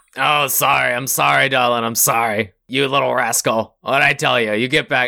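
Using a raspy, put-on character voice, a man speaks at medium pitch and a moderate pace. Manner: breezy, conspiratorial, calls everyone darling.

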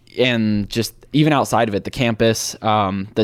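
With a Midwestern American accent, a man talks at a moderate pace in a fairly low pitch on a very clean recording with a silent background. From Cleveland, Ohio. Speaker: college football stadium traveler and podcaster. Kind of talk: casual interview chat.

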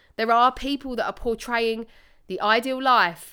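With a British accent, a woman talks in a fairly high pitch and an animated tone, her bright, sharp voice captured in a very clean recording with a silent background. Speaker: personal trainer and podcast host. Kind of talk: solo podcast monologue. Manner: animated, casual.

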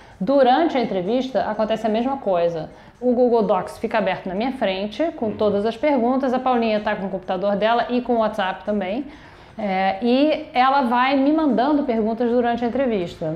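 A woman's fairly high voice at a fairly quick clip, with ordinary pitch variation and audible room echo. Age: 50s. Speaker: podcast host and simultaneous interpreter. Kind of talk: interview. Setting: production company office.

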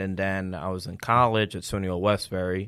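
In a very clean recording with a silent background, a man with a New York accent talks at a moderate pace, fairly low in pitch and with fairly even intonation. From Long Island, New York. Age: 30s. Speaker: insurance agent. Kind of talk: casual chat.

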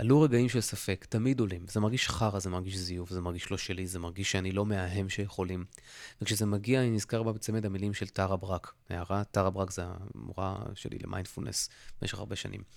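Against a very clean recording with a silent background, a man speaks at a fairly low pitch with fairly even intonation. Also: fairly quick pace. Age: 40s. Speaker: podcast host. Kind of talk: solo podcast monologue. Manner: casual, halting with fillers.

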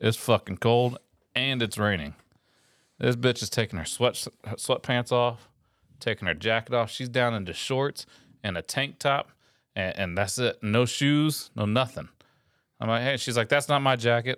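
With ordinary pitch variation at a moderate pace, this voice has long, frequent pauses and a dry, close sound with no echo on a very clean recording with a silent background. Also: man, medium pitch for a man. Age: 40s. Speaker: Coast Guard veteran and police officer. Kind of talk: casual chat. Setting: studio.

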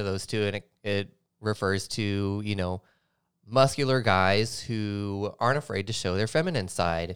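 With an American accent, a man talks in a plain, everyday voice at a fairly low pitch and moderate pace. His pitch variation is ordinary, and the recording is very clean with a silent background. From US South, Nashville, Tennessee. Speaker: DJ. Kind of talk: casual interview chat.

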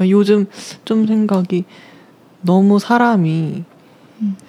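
A woman speaks at a medium pitch and a very slow pace, with long, frequent pauses and fairly even intonation. Noticeable background noise runs underneath. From South Korea. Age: 20s. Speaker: university student on leave, cafe worker. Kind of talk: interview. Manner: hesitant.

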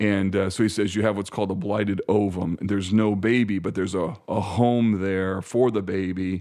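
In a dark, mellow tone, a man speaks at a fairly low pitch and moderate pace with flat, monotone intonation against a quiet background. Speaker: pastor. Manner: articulate.

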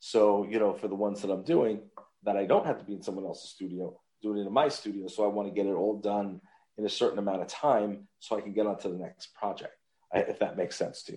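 A man with a Long Island accent talks at a very fast pace. His voice has a fairly low pitch, a dark, mellow tone, and ordinary pitch variation. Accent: New York (Long Island). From Long Island, New York. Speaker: voice actor and podcast host. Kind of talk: casual chat. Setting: remote call from a holiday resort. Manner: animated.

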